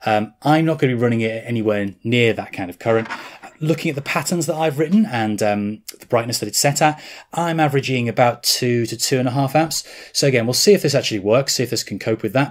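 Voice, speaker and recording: The background is quiet. A man talks at a very fast pace with ordinary pitch variation. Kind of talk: tutorial. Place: workshop.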